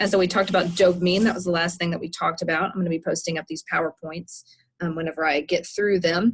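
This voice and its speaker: This woman speaks very fast with a fairly low pitch and a somewhat breathy quality. Her intonation stays fairly even. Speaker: professor. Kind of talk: lecture. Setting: outdoors. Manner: soft-spoken.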